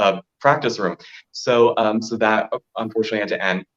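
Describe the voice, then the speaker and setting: A man's fairly low voice moves at a moderate pace, its pitch varying in an ordinary way. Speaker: drag performer and singer. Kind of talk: interview conversation.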